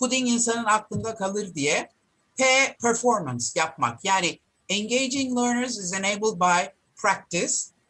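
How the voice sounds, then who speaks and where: A woman with a Turkish accent speaks at a moderate pace in a fairly high voice. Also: ordinary pitch variation. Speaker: professor. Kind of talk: lecture.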